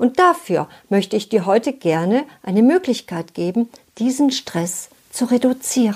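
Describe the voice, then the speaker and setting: At a fairly slow pace, a woman with a fairly high pitch talks with very wide pitch swings. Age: 60s. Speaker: relationship coach. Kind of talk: scripted talk to listener.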